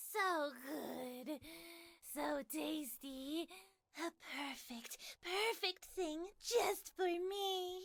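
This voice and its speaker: In a put-on character voice, a woman speaks at a very slow pace with an extremely high pitch. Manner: overly excited, gleeful.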